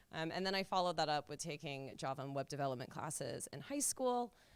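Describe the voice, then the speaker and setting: A woman talks at a fairly quick pace with an American accent. Her pitch swings very widely. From US, Seattle. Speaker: software engineer. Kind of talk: panel discussion.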